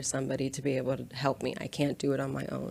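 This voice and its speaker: With vocal fry and a very deep, low pitch, a woman speaks at a very fast pace. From Brazil. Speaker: tattoo studio manager. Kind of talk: casual chat.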